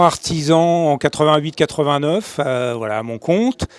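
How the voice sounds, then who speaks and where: A man talks in a fairly high pitch. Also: dry, close sound with no echo. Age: 60s. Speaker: bicycle frame builder. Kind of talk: panel discussion.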